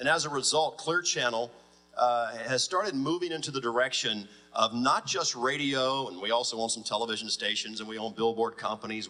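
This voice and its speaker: A man with an American accent, medium pitch and ordinary pitch variation, at a fairly quick pace. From US South. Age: 40s. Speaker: radio executive. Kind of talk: panel talk. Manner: fast.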